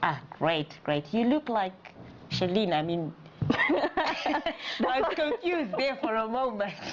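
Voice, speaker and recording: A woman at a very slow pace, fairly high in pitch, with very wide pitch swings, very even loudness, and noticeable background noise. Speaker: talk show host. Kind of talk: talk show hosting.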